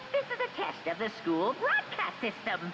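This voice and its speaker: A put-on character voice plays over loud background noise. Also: moderate pace. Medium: game stream. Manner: playful, unconcerned.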